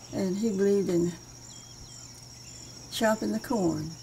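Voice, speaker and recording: Noticeable background noise sits under this woman's voice. She speaks at a fairly slow pace. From Western Kentucky. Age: 80s+. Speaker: folk artist, memory painter. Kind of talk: interview answer. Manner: regal elocution.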